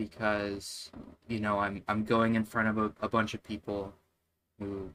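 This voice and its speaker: Quiet and bright with a sharp tone, the voice moves at a fairly slow pace in monotone, flat intonation. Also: man. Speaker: game developer streamer. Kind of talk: casual live stream talk. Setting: live stream at computer. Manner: quiet, monotone; halting.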